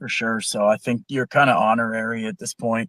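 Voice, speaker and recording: Dry and close with no echo, a man's normal speaking voice comes at a moderate pace and a medium pitch. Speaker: film discussion guest. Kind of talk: casual chat.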